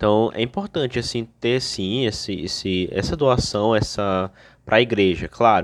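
This man has a plain, everyday voice at a medium pitch. He talks at a fairly slow pace. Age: 20s. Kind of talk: religious Q&A explanation.

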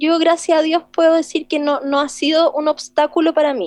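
The recording is dry and close, with no echo. A woman talks at a moderate pace with an extremely high pitch. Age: 30s. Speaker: singer and arts director. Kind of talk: interview.

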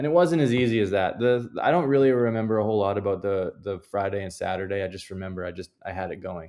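On a very clean recording with a silent background, a man with a Canadian accent talks at a very fast pace with hardly any pauses, using a fairly low pitch, a dark, mellow tone, ordinary pitch variation and big swings in loudness. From Canada. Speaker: professional golfer. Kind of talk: interview.

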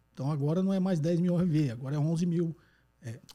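With a dark, mellow tone and a somewhat breathy quality, a man talks at a moderate pace with ordinary pitch variation. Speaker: economics podcast host answering listener questions. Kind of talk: call-in Q&A explanation. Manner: conversational, frequent tag questions.

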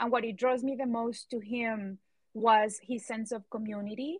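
Fairly even in intonation, a woman speaks at a fairly high pitch. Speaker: podcast host. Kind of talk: casual chat. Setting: live audio chat room.

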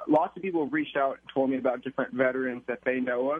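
The pitch of this man's voice is fairly high. Intonation holds fairly even throughout. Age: 20s. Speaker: oral historian interviewing war veterans. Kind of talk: interview.

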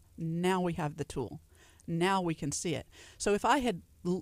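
With a Southern US accent, a woman speaks at a medium pitch on a very clean recording with a silent background and a dry, close sound with no echo. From Louisiana. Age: 40s. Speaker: nutritionist. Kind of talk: radio interview. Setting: radio studio.

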